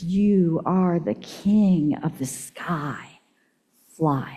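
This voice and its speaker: A woman puts on a character voice and speaks very slowly. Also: fairly low pitch for a woman. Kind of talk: solemn, encouraging. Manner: whispering.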